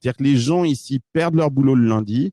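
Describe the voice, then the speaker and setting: A man at a fairly quick pace, medium pitch with ordinary variation, a dark, mellow tone, and a dry, close sound with no echo. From France. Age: 40s. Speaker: startup investor. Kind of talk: interview. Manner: hesitant, many fillers.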